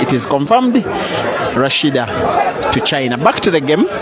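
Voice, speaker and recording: A man speaks at a moderate pace. The sound is dry with no echo, with crowd noise in the background. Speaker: match commentator. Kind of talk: sports commentary. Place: hall.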